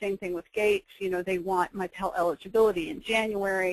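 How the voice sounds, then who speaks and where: A woman talks at a fairly quick pace in a medium pitch. The sound is dry and close, with no echo. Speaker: federal student aid presenter. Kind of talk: webinar presentation. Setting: webinar. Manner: quiet.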